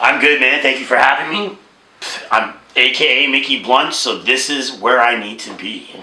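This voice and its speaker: A man at medium pitch speaks at a moderate pace, with ordinary pitch variation and big swings in loudness. Noticeable background noise and audible room echo fill the recording. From Toronto, Canada. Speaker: rapper. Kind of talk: casual interview.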